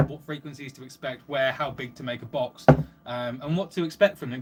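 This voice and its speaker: Amid noticeable background noise, a man with an English accent speaks with ordinary pitch variation. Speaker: livestreamer and car audio hobbyist. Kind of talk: live stream chat reading comments. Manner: fast; animated.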